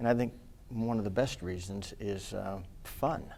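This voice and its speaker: A man with a fairly low voice talks at a moderate pace with ordinary pitch variation. Room echo is audible. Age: 60s. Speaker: student media manager and faculty advisor. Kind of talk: casual farewell remarks on a student TV show.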